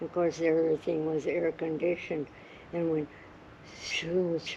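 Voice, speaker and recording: A woman with a fairly low pitch speaks at a moderate pace. Noticeable background noise sits behind her. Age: 90s. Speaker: grandmother telling stories. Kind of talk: casual chat.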